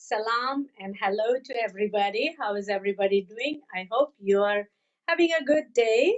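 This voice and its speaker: A woman with a Pakistani accent speaks at a moderate pace with ordinary pitch variation. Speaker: health and fitness coach. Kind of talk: live webcast interview. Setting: live online broadcast. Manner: energetic.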